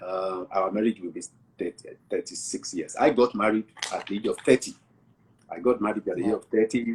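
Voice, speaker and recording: With a Nigerian accent, a man talks at a fairly quick pace in a dry, close recording with no echo. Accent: Nigerian (Yoruba) English. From southwest Nigeria. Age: 60s. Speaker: pastor. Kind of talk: interview.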